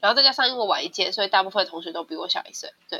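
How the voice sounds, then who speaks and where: A woman's voice with very wide pitch swings. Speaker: university student, former homeschooler. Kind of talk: interview.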